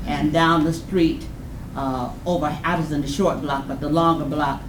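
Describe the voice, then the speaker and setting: A woman with an American accent talks at a moderate pace in a very deep, low voice with monotone, flat intonation. Room echo is audible, and background noise is noticeable. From Detroit, Michigan (Delray). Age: 60s. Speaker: community resident speaker. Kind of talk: public testimony at community meeting. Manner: emotional, passionate.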